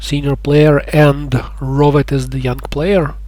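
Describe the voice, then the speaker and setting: The speaker has a non-native accent. Noticeable background noise is present. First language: not English. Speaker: gaming youtuber. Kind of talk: gameplay commentary. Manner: halting, with pauses.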